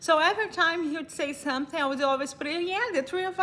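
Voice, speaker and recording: A woman is speaking. She has a Brazilian accent. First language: Portuguese. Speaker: vlogger. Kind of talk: casual storytelling. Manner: halting.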